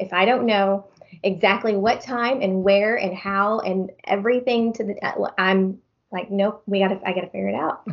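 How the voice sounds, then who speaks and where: In an American accent, a plain, everyday voice speaks at a moderate pace with fairly even intonation. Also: woman, medium pitch for a woman. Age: 40s. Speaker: county clerk. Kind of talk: personal testimony.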